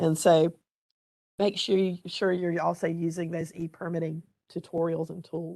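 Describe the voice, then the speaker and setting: A raspy, put-on character voice with monotone, flat intonation at a moderate pace. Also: woman, fairly low pitch for a woman. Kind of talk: professional presentation.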